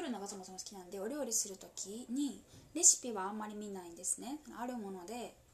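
Noticeable background noise accompanies a woman speaking at a fairly quick pace with a fairly high pitch and lively intonation. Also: big swings in loudness. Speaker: solo podcaster. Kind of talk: whispered casual monologue. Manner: whispering; halting.

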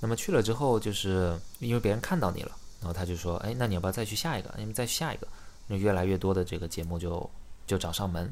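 Audible room echo surrounds a man with a very deep, low pitch. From China, Xiamen. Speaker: startup founder. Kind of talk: casual interview chat.

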